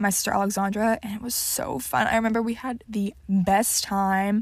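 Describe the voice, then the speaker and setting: In a very clean recording with a silent background, a woman speaks at a medium pitch in a flat monotone. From Texas, Houston. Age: young. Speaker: podcast host. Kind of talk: casual solo chat.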